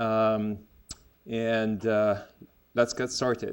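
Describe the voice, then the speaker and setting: A man speaks at medium pitch with a Lebanese accent. The recording is very clean, with a silent background. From Lebanon. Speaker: gastroenterologist, medical lecturer. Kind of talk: medical lecture. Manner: hesitant, many fillers.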